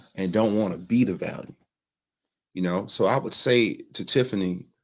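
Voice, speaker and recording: Fairly low-pitched, a man talks at a moderate pace with ordinary pitch variation. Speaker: podcast co-host, husband. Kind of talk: live-streamed podcast chat. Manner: calmer, less loud than his wife.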